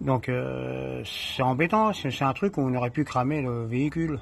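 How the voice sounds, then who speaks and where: With ordinary pitch variation and a medium pitch, a man talks at a very slow pace. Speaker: amateur mechanic. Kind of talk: casual tutorial. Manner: halting.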